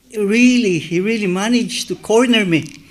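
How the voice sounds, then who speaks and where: A man with a non-native accent speaks at a moderate pace. His pitch is high, with ordinary variation. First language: not English. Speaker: church member, youth club leader. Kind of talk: sermon. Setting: church. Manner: halting.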